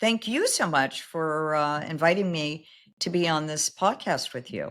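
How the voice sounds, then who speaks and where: Recorded very cleanly against a silent background, a woman with an American accent talks at a fairly slow pace in a fairly low pitch, with ordinary pitch variation. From US West Coast, Los Angeles. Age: 60s. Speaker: recruiting firm founder. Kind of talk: interview.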